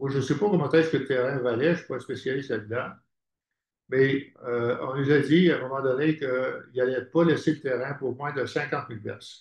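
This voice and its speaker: A man with a Quebec accent speaks fairly quickly in a somewhat breathy, fairly high voice with ordinary pitch variation. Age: 80s+. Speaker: housing cooperative founder. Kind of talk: conference talk. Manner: halting.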